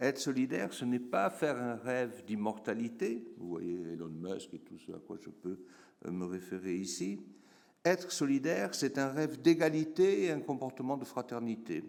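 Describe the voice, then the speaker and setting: The voice moves at a moderate pace with very wide pitch swings. Its loudness swings a lot too. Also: man, medium pitch for a man. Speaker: geographer professor. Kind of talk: conference talk. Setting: conference room with audience. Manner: hesitant, many fillers.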